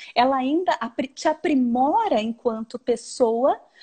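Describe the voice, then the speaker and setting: A woman with a high pitch and a dark, mellow tone, in a strong Porto Alegre accent, at a very slow pace, the sound dry and close with no echo. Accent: marked Porto Alegre gaúcho. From southern Brazil, Porto Alegre. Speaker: researcher and educator. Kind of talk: live-streamed academic dialogue. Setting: video call live stream.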